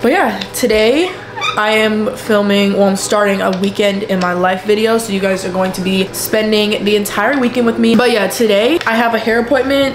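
A woman speaking with hardly any pauses over noticeable background noise. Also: ordinary pitch variation, moderate pace. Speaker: lifestyle vlogger. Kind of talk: casual vlog chat. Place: home room. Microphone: camera far.

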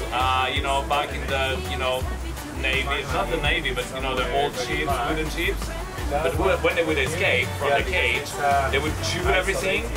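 Loud music plays in the background. Over it, a man speaks at a moderate pace. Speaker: sailing instructor. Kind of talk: casual vlog chat. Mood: playful storytelling. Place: boat. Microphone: lapel.

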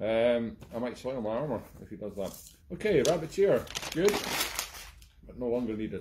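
A man with a medium-pitched, slightly mellow voice speaks at a moderate pace with lively intonation.

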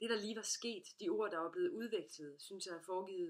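Natural-voiced reading aloud

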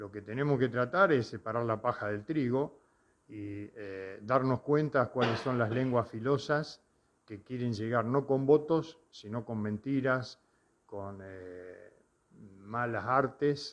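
The delivery comes at a very slow pace with big swings in loudness. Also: man, ordinary pitch variation. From Argentina, Santa Fe province. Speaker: mayor. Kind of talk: interview. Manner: halting. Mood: calm, critical, reflective. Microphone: handheld.

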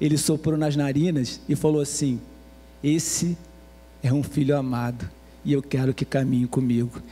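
A man with a fairly high, dark, mellow voice speaks at a moderate pace with fairly even intonation, very even loudness and long, frequent pauses. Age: 50s. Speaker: pastor. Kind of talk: sermon. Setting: church. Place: church. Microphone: handheld.

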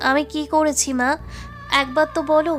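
A shaky, put-on character voice at a moderate pace over clear background music

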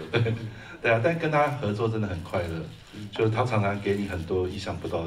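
With a Taiwanese accent, a man talks at a very fast pace in a fairly low pitch over light background noise. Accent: Taiwanese Mandarin. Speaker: screenwriter and film producer. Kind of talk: post-screening Q&A. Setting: stage with audience. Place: hall.

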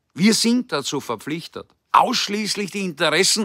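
Against a quiet background, a man with a raised, projected voice and a bright, sharp tone talks at a moderate pace with lively intonation, the sound dry with no echo. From Austria. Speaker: political commentator. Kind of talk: political address. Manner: formal. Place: garden. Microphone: phone near.

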